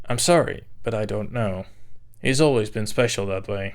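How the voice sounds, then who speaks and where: Moderate pace in a put-on character voice. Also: man, fairly low pitch for a man. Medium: read story. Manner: cautious, deferential.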